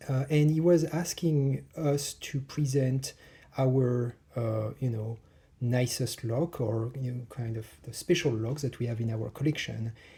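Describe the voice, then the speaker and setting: With a strong French accent, a man speaks at a fairly slow pace in a dark, mellow, somewhat breathy tone of medium pitch. His pitch varies in an ordinary way, and the recording is very clean with a silent background. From France. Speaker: hobbyist lockpicker. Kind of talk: casual tutorial. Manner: hesitant, many fillers.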